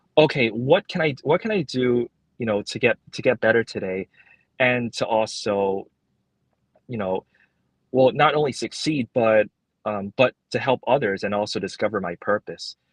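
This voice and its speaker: Recorded with a dry, close sound and no echo, a man speaks at a moderate pace and medium pitch with ordinary pitch variation and long, frequent pauses. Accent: Cantonese. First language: Cantonese. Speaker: librarian. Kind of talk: interview. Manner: halting, many repetitions and fillers.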